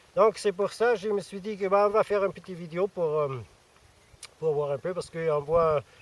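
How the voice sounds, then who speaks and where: With an Austrian accent, a man speaks in a high voice, leaving long, frequent pauses. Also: ordinary pitch variation, moderate pace, dry, close sound with no echo. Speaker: survivalism youtuber. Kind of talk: casual vlog. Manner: hesitant, many fillers.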